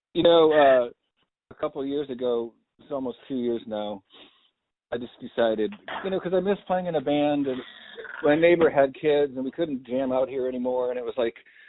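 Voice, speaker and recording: A man with a medium pitch and ordinary pitch variation talks at a fairly quick pace, with long, frequent pauses. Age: 50s. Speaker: podcast host. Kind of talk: casual chat.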